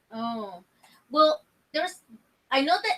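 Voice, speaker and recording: Raised, projected speech from a woman, bright and sharp in tone. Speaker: paranormal investigator. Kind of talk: casual chat. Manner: loud.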